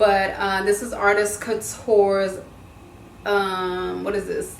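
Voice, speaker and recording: A woman talks at a fairly slow rate. Noticeable background noise and audible room echo fill the recording. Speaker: beauty vlogger. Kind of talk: makeup tutorial. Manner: casual, chatty.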